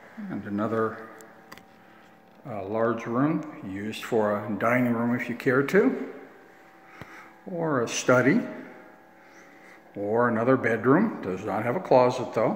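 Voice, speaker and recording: Long, frequent pauses, a fairly slow pace, ordinary pitch variation and audible room echo. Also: man. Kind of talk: property tour narration. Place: empty room. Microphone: phone near.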